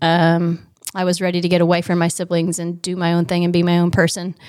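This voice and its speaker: An ordinary speaking voice, with an American accent, moves along at a fairly quick pace. The recording is very clean, with a silent background. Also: woman. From Indiana, rural area north of Indianapolis. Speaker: children's ministry director, former agriculture teacher. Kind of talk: casual interview.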